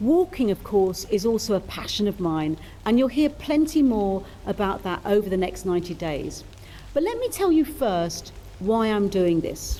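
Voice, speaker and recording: In a British accent, a woman talks at a moderate pace and a medium pitch. Her pitch swings very widely. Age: 60s. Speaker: charity fundraiser walker and podcast host. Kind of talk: scripted narration.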